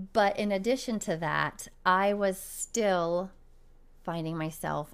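A woman at a fairly slow pace, music in the background. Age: 30s. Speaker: running coach and podcast host. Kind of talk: solo podcast monologue. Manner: animated.

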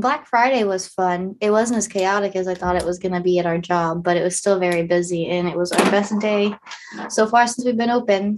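Here is an unremarkable speaking voice: a woman at medium pitch with an American accent. She keeps a moderate pace and ordinary pitch variation. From Ohio, US Midwest. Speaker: podcast co-host. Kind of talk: casual chat.

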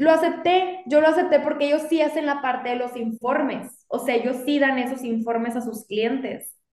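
Hardly pausing, a woman speaks at a moderate pace in a high pitch with ordinary pitch variation. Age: 30s. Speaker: lawyer and business owner. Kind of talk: casual interview chat.

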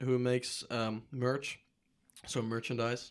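A man with a Dutch accent talks at a fairly slow pace. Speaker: student podcast host. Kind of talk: casual interview.

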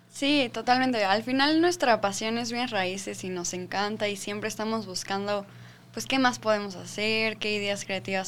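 A woman's ordinary speaking voice at a medium pitch and a moderate pace, with ordinary pitch variation. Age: 20s. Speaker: real estate sales manager. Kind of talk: casual chat.

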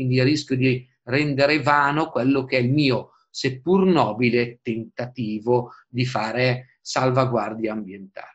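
A man speaks slowly-ish in a normal speaking voice, medium in pitch, with ordinary pitch variation and a fairly slow pace. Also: big swings in loudness. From northern Italy, Busto Arsizio (Lombardy). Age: 40s. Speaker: environmental lawyer and political activist. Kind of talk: interview.

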